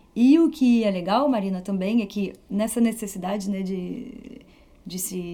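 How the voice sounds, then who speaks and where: A woman speaks with a slight French accent in a somewhat breathy, dark, mellow tone. Her pace is fairly slow, with ordinary pitch variation. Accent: slight foreign accent from years in France. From France (Paris region). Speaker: flautist and music teacher. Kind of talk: interview.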